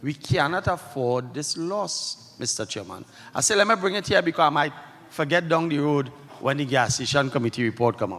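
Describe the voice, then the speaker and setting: A man's normal speaking voice at a fairly high pitch and a moderate pace. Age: 60s. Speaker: credit union member. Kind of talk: meeting floor question. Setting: annual general meeting hall.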